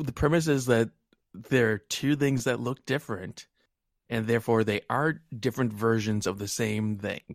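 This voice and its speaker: In an American accent, a man with an ordinary speaking voice talks at a moderate pace and medium pitch, with ordinary pitch variation and a dry, close sound with no echo. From New England, US. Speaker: wargaming podcaster. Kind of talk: casual chat.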